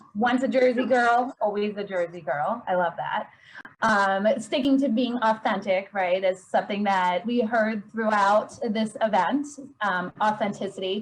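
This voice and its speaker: Somewhat breathy and fairly high, a woman's voice with an American accent moves at a fairly slow pace with ordinary pitch variation. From Pennsylvania. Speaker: event moderator. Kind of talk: casual chat. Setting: video call.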